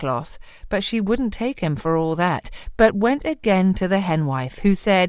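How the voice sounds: Lively intonation in a natural reading voice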